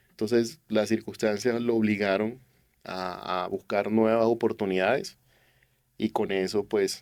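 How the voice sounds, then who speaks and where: Speaking at a medium pitch and a moderate pace, a man keeps his intonation fairly even. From Colombian Caribbean coast, Barranquilla. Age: 40s. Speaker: youth church leader and businessman. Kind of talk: testimony interview.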